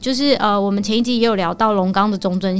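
A woman at medium pitch with a Taiwanese accent, very fast pace and lively intonation, on a very clean recording with a silent background. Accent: Taiwanese Mandarin. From Taiwan, Taoyuan. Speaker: local resident sharing travel tips. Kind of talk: casual chat.

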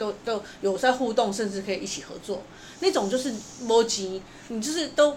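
A woman speaks at a fairly high pitch, with ordinary pitch variation. Noticeable background noise and audible room echo fill the recording. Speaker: opera and puppet theatre playwright. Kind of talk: interview.

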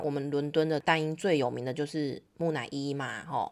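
A woman with a very deep, low pitch, an animated tone, and a moderate pace. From Taiwan. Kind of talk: interview. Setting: remote call.

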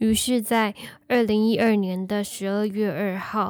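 In a very clean recording with a silent background, a woman with a Taiwanese accent speaks very slowly in a medium pitch and a monotone, flat intonation. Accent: Taiwanese Mandarin. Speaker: true crime podcast host. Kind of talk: storytelling narration.

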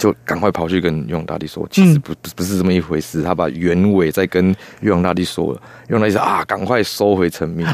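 A man with a very deep, low voice speaks at a fairly quick pace with ordinary pitch variation, his sound dry and close with no echo. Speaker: puppeteer. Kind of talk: radio interview.

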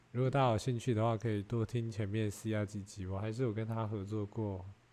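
A man talks at a fairly quick pace in a dark, mellow tone. His fairly low pitch has ordinary variation. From Taiwan. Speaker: podcaster. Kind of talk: casual chat. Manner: animated.

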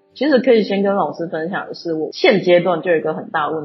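The speech comes at a very fast pace with lively intonation. Music plays in the background. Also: woman. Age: 20s. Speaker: cultural heritage entrepreneur. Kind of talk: interview.

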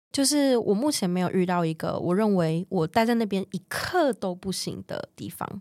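A woman with a Taiwanese accent speaks at a moderate pace and medium pitch with lively intonation and hardly any pauses, in a very clean recording with a silent background and a dry, close sound with no echo. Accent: Taiwanese Mandarin. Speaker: world traveler sharing her story. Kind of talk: casual interview chat.

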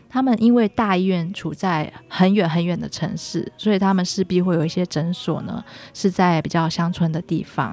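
Music plays behind a woman whose voice sits fairly low in pitch. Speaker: infectious disease physician. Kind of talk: radio interview. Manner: formal.

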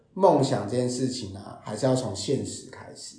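A man's medium-pitched voice at a moderate pace, over noticeable background noise. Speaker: storyteller and presentation trainer, HR worker. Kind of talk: interview.

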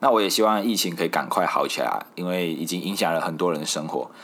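Very deep and low in pitch, a man speaks with a Malaysian accent at a very fast pace. His pitch variation is ordinary, and the recording is very clean, with a silent background. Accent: Malaysian Mandarin. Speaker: podcast host. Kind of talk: casual solo podcast monologue.

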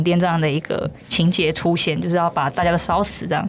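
Against noticeable background noise, a woman speaks at a fairly quick pace and fairly low pitch. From Taiwan, Yunlin. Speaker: brand manager of a puppet theater company. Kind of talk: casual interview chat.

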